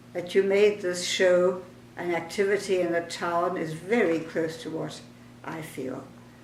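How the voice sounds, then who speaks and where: A woman talks at a fairly slow pace and fairly low pitch, her intonation fairly even but her loudness swinging widely. Noticeable background noise sits behind her. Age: 80s+. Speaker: architect and urban planner. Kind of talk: personal reminiscence.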